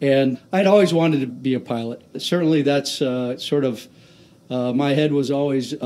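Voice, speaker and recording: With an American accent and a plain, everyday voice, a man speaks at a moderate pace, his fairly high pitch showing ordinary variation. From US Pacific Northwest (Tacoma, Washington). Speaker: aircraft carrier commanding officer, naval aviator. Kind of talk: interview. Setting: on location at a shipyard.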